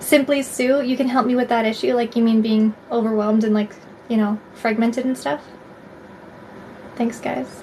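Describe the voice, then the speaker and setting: Noticeable background noise sits behind a woman with a Canadian accent and a fairly high pitch. She speaks at a moderate pace with fairly even intonation and long, frequent pauses. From Canada, Alberta. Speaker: tarot reader livestreamer. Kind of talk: live stream chat with viewers. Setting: live stream. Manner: casual, filler-heavy.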